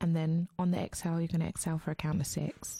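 The woman's voice has a fairly low pitch and a dark, mellow tone. Her intonation is fairly even, and the sound is dry and close with no echo. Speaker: radio host. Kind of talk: casual radio chat and guided meditation. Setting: studio.

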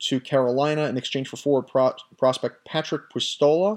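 This man has an ordinary speaking voice, fairly high in pitch, at a moderate pace. The recording is very clean, with a silent background. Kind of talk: sports news commentary, scripted-sounding solo podcast monologue. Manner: fluent, conversational and opinionated, with some self-corrections.

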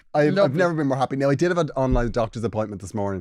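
Speaking at a very fast pace with an Irish accent, a man is heard in a very clean recording with a silent background. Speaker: podcast co-host. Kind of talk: casual chat.

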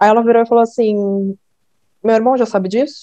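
A dark, mellow voice moves at a moderate pace in a dry, close sound with no echo. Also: woman. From Brazil, São Paulo state. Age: 20s. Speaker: podcast guest. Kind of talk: casual chat.

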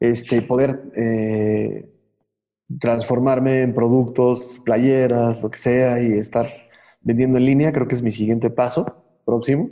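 A man talks at a very slow pace and medium pitch. His intonation is monotone and flat. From Mexico City. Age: 40s. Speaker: graphic artist and muralist. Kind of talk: casual interview.

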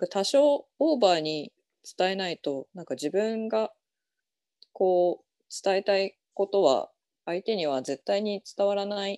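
In a very clean, dry, close recording with a silent background and no echo, a woman with a dark, mellow tone speaks fairly slowly, leaving long, frequent pauses. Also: medium pitch for a woman, lively intonation. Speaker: indie essay writer. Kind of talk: casual chat.

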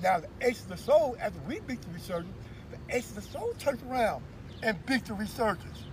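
Very rapid male speech with noticeable noise behind it. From US West Coast, East Oakland, California. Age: 60s. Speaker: street dancer. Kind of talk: interview storytelling. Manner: halting.

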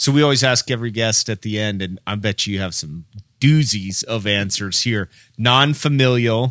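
In an ordinary speaking voice, a man talks at a moderate pace and medium pitch with ordinary pitch variation, with a dry, close sound with no echo, on a very clean recording with a silent background. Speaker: podcast co-host. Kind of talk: casual banter and interview. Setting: studio.

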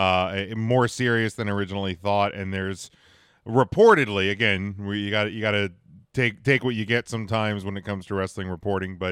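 On a very clean recording with a silent background, a man has a plain, everyday voice at a fairly low pitch. He keeps a moderate pace and fairly even intonation. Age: 30s. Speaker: wrestling podcast co-host. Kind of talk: casual chat.

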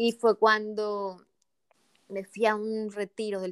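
A woman's medium-pitched voice, dry and close with no echo, in a very clean recording with a silent background. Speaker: transpersonal coach. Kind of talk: interview conversation. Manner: calm, soothing.

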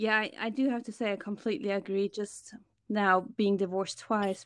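A woman speaks in a German accent at a medium pitch. Her intonation stays fairly even against a quiet background. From Germany. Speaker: podcaster working in finance. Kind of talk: casual interview chat.

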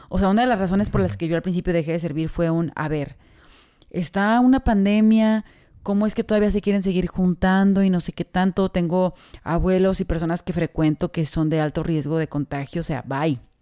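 This woman's fairly low voice has a dark, mellow tone and ordinary pitch variation at a fairly quick pace. The recording is very clean, silent behind her, with a dry, close sound and no echo. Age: 20s. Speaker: podcast co-host. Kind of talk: casual chat.

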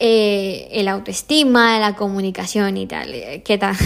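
A woman speaks at a medium pitch with an unremarkable speaking voice. Her intonation is fairly even. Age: 30s. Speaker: podcast host. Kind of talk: solo motivational monologue. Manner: casual, with many fillers.

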